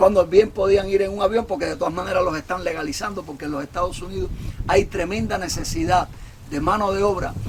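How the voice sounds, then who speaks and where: A man rattles along very fast in a high pitch, his pitch varying in an ordinary way, as noticeable background noise runs underneath. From Cuba. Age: 60s. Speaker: political commentator. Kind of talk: monologue.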